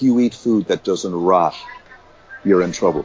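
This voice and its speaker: A man with an Irish accent speaks at a fairly low pitch with ordinary pitch variation. Noticeable background noise is present. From Ireland, Limerick. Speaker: community development faculty member. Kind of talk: interview. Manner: hesitant, many fillers and repetitions.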